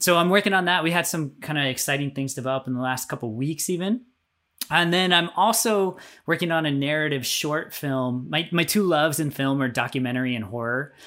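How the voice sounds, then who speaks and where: In a very clean recording with a silent background, a man talks at a fairly quick pace, his pitch fairly high, his tone bright and sharp, and his pitch variation ordinary. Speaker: filmmaker. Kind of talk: casual interview.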